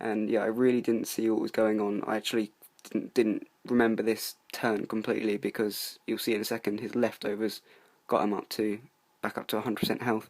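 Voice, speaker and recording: Spoken in a flat monotone at a fairly quick pace, the voice comes through on a very clean recording with a silent background. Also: man. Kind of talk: casual gameplay commentary.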